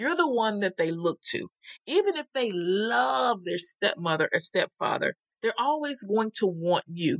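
A woman with an American accent speaks at a fairly slow pace in a fairly high pitch, her voice swinging very widely in pitch, with a dry, close sound and no echo. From US South. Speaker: step family coach. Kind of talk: interview.

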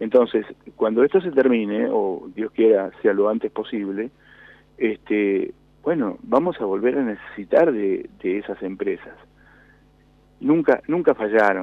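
With a Rioplatense accent, a man talks at a fairly slow pace with lively intonation, leaving long, frequent pauses. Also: medium pitch for a man. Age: 60s. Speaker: industrialist. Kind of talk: radio interview. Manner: halting.

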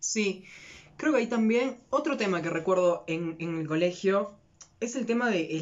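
Lively intonation marks a man talking at a fairly slow pace. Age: 20s. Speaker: podcast co-host, acting student. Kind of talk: casual chat.

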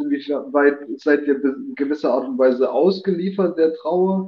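This man talks with a fairly high pitch. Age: 30s. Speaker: guest on live talk show. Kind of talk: casual chat.

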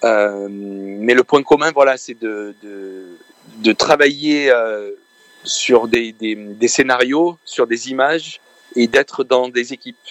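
A man speaks very slowly at a medium pitch, with ordinary pitch variation, big swings in loudness and a dry, close sound with no echo. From France. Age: young. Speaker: film composer. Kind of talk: interview.

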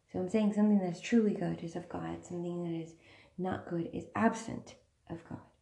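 Speaking at a fairly quick pace, a woman has a dark, mellow, somewhat breathy tone and a fairly low pitch. Her loudness swings widely. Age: 30s. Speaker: podcast host. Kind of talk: religious monologue. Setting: at home, far end of house; in a car, driving. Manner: hesitant with fillers.

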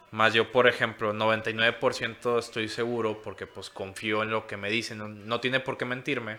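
At a fairly slow pace with hardly any pauses, a man speaks in a monotone, flat intonation at a medium pitch, his loudness swinging widely. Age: 20s. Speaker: cannabis edibles maker. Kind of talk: casual chat.

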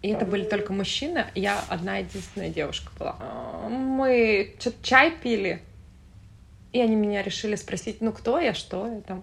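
Using vocal fry, a woman speaks at a moderate pace with long, frequent pauses, her fairly high pitch carried in lively intonation. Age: 30s. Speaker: florist and entrepreneur. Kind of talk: casual chat.

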